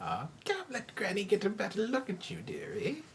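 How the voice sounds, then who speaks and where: Putting on a character voice, a female-sounding speaker cackles at a moderate pace with a fairly high pitch for a woman over light background noise. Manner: cackling, sly, sweet-seeming.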